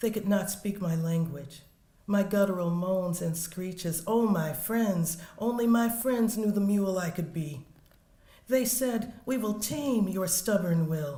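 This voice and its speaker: With an American accent, a woman speaks at a fairly slow pace and medium pitch, showing ordinary pitch variation amid audible room echo. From US South. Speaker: poet. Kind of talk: poetry reading.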